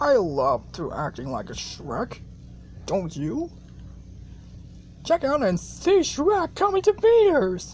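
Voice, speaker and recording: A put-on character voice at a fairly slow pace, with long, frequent pauses and clear background noise. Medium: role play.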